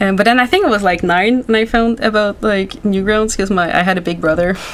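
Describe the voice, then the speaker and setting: A woman talks at a fairly quick pace with very even loudness. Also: medium pitch for a woman, ordinary pitch variation. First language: French. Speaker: animation youtuber. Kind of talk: casual interview chat. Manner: animated.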